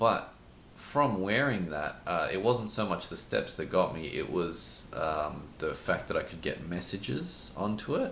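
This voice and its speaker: Audible room echo surrounds a man speaking at a fairly slow pace. His fairly low voice makes very wide pitch swings. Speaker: teacher and podcast co-host. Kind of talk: casual chat.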